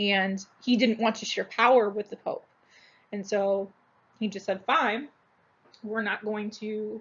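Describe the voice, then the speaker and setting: This woman's voice sits fairly high and moves at a fairly slow pace. Her intonation stays monotone and flat, broken by long, frequent pauses. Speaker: school teacher. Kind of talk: recorded lecture. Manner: casual, filler-heavy.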